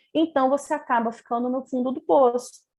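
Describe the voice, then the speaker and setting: A woman's high-pitched voice. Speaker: integrative therapist and physiotherapist. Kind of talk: online lecture with slides.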